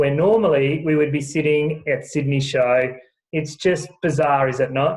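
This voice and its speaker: A man's somewhat breathy voice at a moderate pace, with fairly even intonation. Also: fairly high pitch for a man. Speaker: show ring announcer. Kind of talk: casual conversation to camera.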